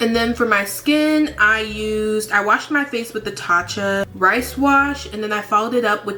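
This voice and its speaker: Over noticeable background noise, a woman's fairly high-pitched voice carries ordinary pitch variation. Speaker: beauty vlogger. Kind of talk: makeup tutorial. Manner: casual, chatty.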